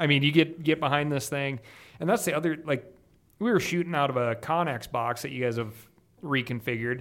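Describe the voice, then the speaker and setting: A man with a normal speaking voice talks at a fairly quick pace, his pitch fairly high with ordinary pitch variation. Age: 40s. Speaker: hunting media personality. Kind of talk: casual chat.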